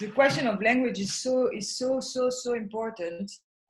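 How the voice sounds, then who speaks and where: With a French accent, a woman speaks at a fairly slow pace in a fairly high voice with ordinary pitch variation. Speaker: artist. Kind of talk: casual chat. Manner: halting.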